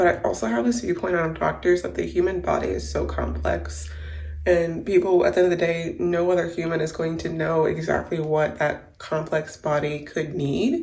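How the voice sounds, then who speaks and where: A woman speaks at a moderate speed in a room with audible echo and noticeable background noise. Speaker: vlogger. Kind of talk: casual vlog.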